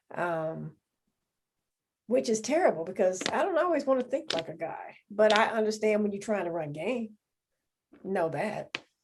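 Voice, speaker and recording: A woman with a Southern US accent talks at a moderate pace in a fairly high voice, making very wide pitch swings and long, frequent pauses. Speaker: podcast co-host. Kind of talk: casual chat.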